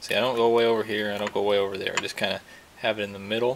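A man is heard with light background noise. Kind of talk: tutorial. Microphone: phone near.

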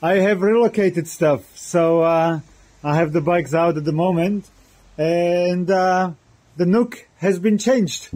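A man with a high pitch speaks at a fairly slow pace with fairly even intonation over a quiet background. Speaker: motorcycle vlogger. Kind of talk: casual vlog chat. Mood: cheerful, relaxed. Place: garage. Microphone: phone near.

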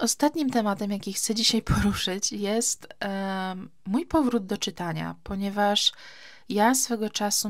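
A woman with an unremarkable speaking voice and ordinary pitch variation is heard on a very clean recording with a silent background. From Poland, Gdańsk. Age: 30s. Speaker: podcaster. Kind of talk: casual chat. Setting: summer house.

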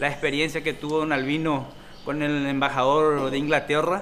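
Bright, sharp tone from a man at a moderate pace, over light background noise. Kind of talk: interview answer.

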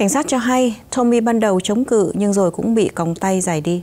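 A woman's voice at a medium pitch. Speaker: news anchor. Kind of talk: news reading. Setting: studio. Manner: formal.

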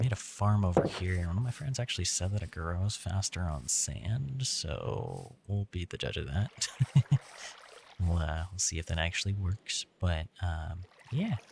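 Over noticeable background noise, a soft-spoken man with a very deep, low voice talks at a fairly slow pace with lively intonation. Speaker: gaming ASMR creator. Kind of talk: ASMR gaming commentary.

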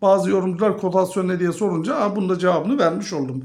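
A man talks in a high voice, and echo from the room is audible. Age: 50s. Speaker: finance YouTuber. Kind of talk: video monologue on investing.

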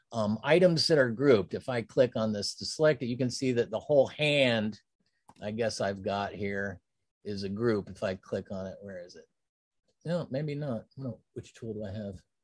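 A man with an American accent speaks at a moderate pace with ordinary pitch variation and big swings in loudness. The background is quiet and the sound dry, without echo. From Pennsylvania and Ohio, US. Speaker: design instructor. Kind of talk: tutorial. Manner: casual, with fillers and laughs. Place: home room.

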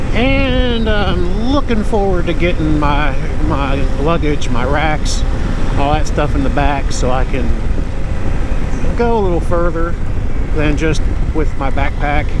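Over loud background noise, the speech comes at a fairly slow pace with long, frequent pauses in a dry sound with no echo. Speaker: motorcycle vlogger. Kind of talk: casual vlog chat. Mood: relaxed, content. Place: motorbike.

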